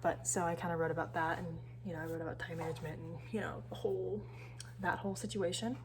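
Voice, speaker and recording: Quiet and mumbling, a woman with an American accent talks at a very fast pace. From San Francisco Bay Area. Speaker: university student. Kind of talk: casual talk to camera. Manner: mumbling, quiet.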